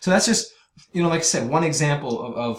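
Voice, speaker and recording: A man's very fast, somewhat breathy delivery. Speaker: conspiracy video maker. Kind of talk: casual monologue. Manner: halting.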